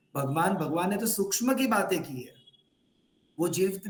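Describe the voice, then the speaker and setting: With a Gujarati accent, a man talks at a moderate pace in a high voice, with audible echo in the room. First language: Gujarati (speaking Hindi). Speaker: religious teacher trainer. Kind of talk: online training session. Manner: code-switching Hindi, English and Gujarati.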